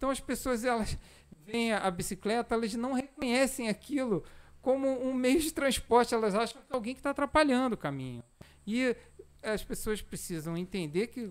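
The intonation is lively. The pace is moderate. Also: man. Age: 40s. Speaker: amateur cyclist and cycling association president. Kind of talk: casual podcast interview. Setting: studio, live-streamed.

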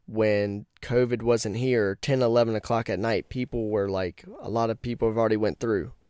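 A man of medium pitch in an animated tone at a moderate pace, on a very clean recording with a silent background. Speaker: podcast host, haunted attraction reviewer. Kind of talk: casual monologue.

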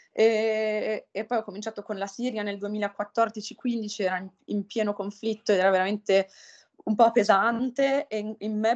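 Her intonation is monotone and flat, and this woman's pitch is fairly high. She talks at a moderate pace, and the sound is dry and close with no echo. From northern Italy. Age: 30s. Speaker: humanitarian aid worker. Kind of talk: interview. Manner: halting.

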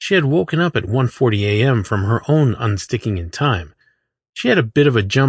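The background is quiet behind an unforced reading voice.

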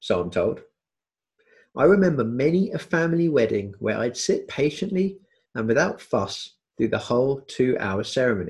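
This man has a fairly high voice and a southern English accent. He talks at a moderate pace, somewhat breathy, with very wide pitch swings. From southwest London area, England. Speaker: podcast host. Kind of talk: scripted narration.

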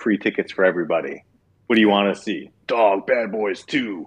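A man with a normal speaking voice. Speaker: podcast co-host. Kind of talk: casual chat.

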